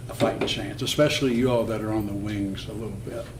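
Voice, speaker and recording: Audible room echo and noticeable background noise around a man, his pitch varying in an ordinary way. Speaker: mayor chairing council meeting. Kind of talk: meeting chairing. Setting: city council meeting. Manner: soft-spoken.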